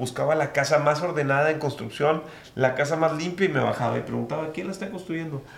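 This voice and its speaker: The speech moves at a fairly quick pace. Room echo is audible, and background noise is noticeable. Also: man. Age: 30s. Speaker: real estate developer. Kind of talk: interview. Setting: office.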